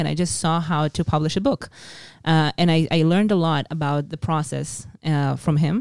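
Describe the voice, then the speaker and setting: In an Israeli accent, a woman speaks with a very deep, low pitch and fairly even intonation on a very clean recording with a silent background. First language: Hebrew. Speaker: tour guide and author. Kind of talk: interview conversation.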